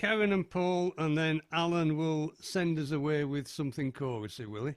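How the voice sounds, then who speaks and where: A man with a North East Lancashire accent speaks at a fairly slow pace, fairly high in pitch, with lively intonation. The sound is dry and close, with no echo. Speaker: folk club host. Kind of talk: casual chat. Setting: video call.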